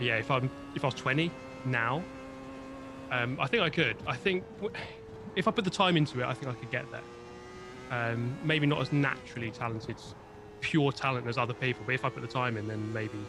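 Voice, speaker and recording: A man at medium pitch and a fairly quick pace, with ordinary pitch variation and long, frequent pauses. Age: 30s. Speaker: sim racer and YouTuber. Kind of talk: casual chat.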